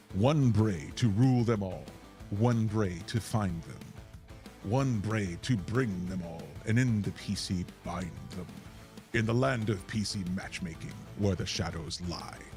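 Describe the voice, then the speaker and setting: Over clear music in the background, a man uses a put-on character voice, fairly low-pitched and dramatic in tone. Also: fairly slow pace. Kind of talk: mock-epic reading. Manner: dramatic, grandiose.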